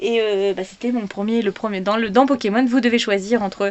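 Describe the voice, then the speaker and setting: Over noticeable background noise, a woman at a medium pitch speaks at a fairly quick pace. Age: 30s. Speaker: vlogger. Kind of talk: casual chat. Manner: halting.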